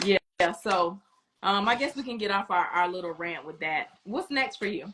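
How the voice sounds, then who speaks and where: Woman with an American accent and a normal speaking voice, medium in pitch, with lively intonation at a moderate pace. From Florida. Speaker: podcast host. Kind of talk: casual chat.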